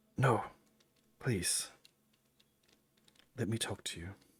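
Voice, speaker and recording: A man performs a put-on character voice. It is raspy and medium in pitch. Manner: pleading.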